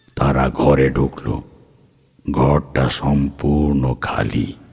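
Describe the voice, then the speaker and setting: A man uses a put-on character voice with a very deep, low pitch. His intonation stays monotone and flat. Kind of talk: horror narration. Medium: audio drama.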